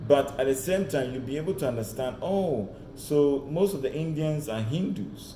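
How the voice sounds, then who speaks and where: Audible room echo surrounds a man with an American accent whose fairly high voice carries lively intonation and an animated tone. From Ghana. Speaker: career mentor. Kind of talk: online presentation.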